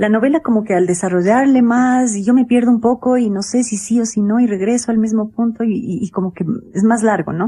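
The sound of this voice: This woman talks at a fairly quick pace with few pauses. Her tone is dark and mellow, and her pitch varies in an ordinary way. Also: fairly high pitch for a woman.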